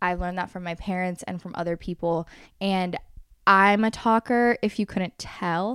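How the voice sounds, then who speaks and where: Very cleanly recorded over a silent background, a woman speaks at a moderate pace and medium pitch with fairly even intonation, the sound dry and close with no echo. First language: Spanish. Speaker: podcast host. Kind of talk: casual chat.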